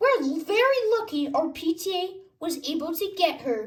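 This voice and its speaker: Squeaky and upbeat in tone, a woman performs a put-on character voice. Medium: read story. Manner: upbeat, explaining.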